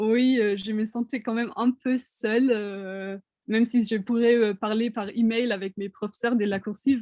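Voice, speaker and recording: Dry and close with no echo, a woman's fairly high voice comes through in a dark, mellow tone, flat and monotone at a fairly slow pace. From Germany. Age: 20s. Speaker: international art student. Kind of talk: interview answers in webinar. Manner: halting, many hesitations.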